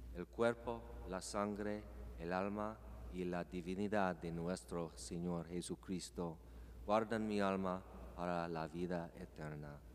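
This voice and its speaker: A man speaks at a very slow pace in a very deep, low voice. Light background noise can be heard. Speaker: congregation member; priest celebrating Mass. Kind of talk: prayer responses; liturgical prayer. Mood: reverent, calm. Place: church.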